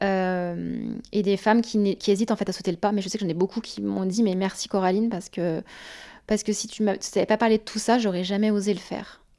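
A woman's voice, dark and mellow, sits at medium pitch. She speaks in a monotone, flat way in a very clean recording with a silent background. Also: fairly quick pace. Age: 30s. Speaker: guest with preventive mastectomy. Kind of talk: personal testimony.

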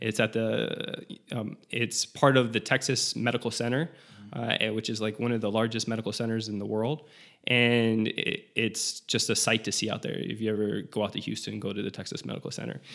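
A man with an American accent talks at a fairly quick pace and medium pitch, with vocal fry and fairly even intonation. The recording is very clean with a silent background. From South Florida. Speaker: transplant pharmacist. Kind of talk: interview.

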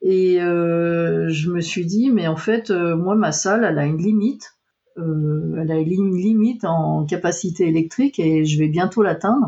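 Here is a woman with an unremarkable speaking voice and a fairly low pitch. She speaks at a fairly slow pace with ordinary pitch variation. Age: 50s. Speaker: computer science research engineer. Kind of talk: interview.

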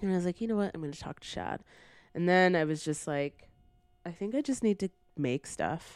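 With a Canadian accent, a woman speaks in a fairly low pitch at a fairly quick pace, her intonation lively and her pauses long and frequent. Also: dry, close sound with no echo. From Brampton, Ontario, Canada. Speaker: writer and editor. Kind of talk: casual chat.

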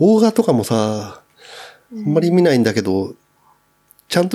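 With very wide pitch swings and a fairly high pitch, a man talks at a fairly quick pace, broken by long, frequent pauses. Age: 40s. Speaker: podcast guest. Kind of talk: casual chat.

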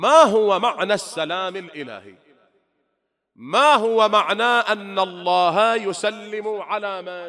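Bright, sharp, high-pitched voice of a man, raised and projected, at a very slow pace with lively intonation and big swings in loudness. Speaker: Shia cleric. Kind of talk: sermon. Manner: rhetorical questions to audience.

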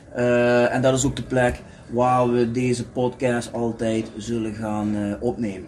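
Noticeable background noise sits under a man speaking at a very slow pace in a monotone, flat intonation. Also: medium pitch for a man. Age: 40s. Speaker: podcast co-host, football fan. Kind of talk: casual chat.

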